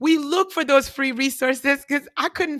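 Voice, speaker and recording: A bright, sharp voice with a non-native accent talks at a moderate pace. The recording is very clean with a silent background and a dry, close sound with no echo. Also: woman. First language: not English. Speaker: career prep show host. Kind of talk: career advice interview. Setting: livestream.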